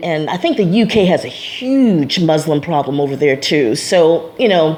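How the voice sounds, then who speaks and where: A woman's voice with lively intonation and a moderate pace, over noticeable background noise. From USA. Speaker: vlogger. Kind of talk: personal vlog monologue. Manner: casual, many fillers and repetitions.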